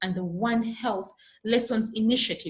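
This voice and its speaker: A woman's somewhat breathy voice shows the usual amount of pitch movement. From Uganda. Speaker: founder of a nonprofit organization. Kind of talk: interview. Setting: remote call.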